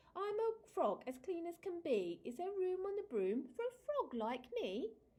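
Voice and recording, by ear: A woman puts on a croaky character voice at an extremely high pitch. She moves at a moderate pace with very wide pitch swings.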